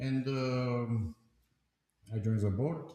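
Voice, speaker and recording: A man talks in a dark, mellow tone that is somewhat breathy. His pitch varies in an ordinary way. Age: 70s. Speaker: company board chairman. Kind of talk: live stream discussion. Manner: halting.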